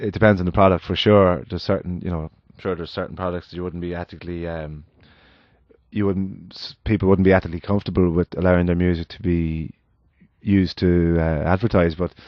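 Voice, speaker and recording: With an Irish accent, a man speaks at a very fast pace and a very deep, low pitch in a monotone, flat intonation. His loudness swings widely. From Ireland. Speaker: musician. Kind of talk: casual podcast conversation. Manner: halting, many restarts.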